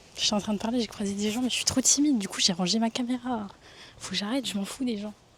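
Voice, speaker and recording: Over noticeable background noise, a woman speaks with a fairly high pitch and fairly even intonation. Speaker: vlogger. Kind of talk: casual vlog talk to camera. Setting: outdoors and gym, handheld camera. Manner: soft-spoken.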